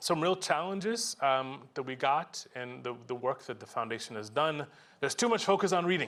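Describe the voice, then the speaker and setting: A man speaks at a fairly high pitch. His pitch swings very widely. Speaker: conference presenter, education researcher. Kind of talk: conference presentation. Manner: fast; animated.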